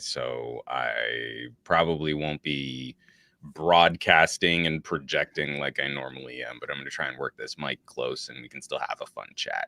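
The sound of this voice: In a put-on character voice, a man growls out his lines in a raspy, very deep, low pitch at a moderate speed.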